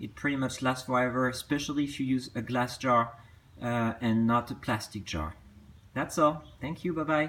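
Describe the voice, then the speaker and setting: The speaker has a strong French accent. Pitch variation is ordinary. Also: man, medium pitch for a man, moderate pace. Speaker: potter. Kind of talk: casual tutorial talk to camera. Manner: hesitant, with fillers.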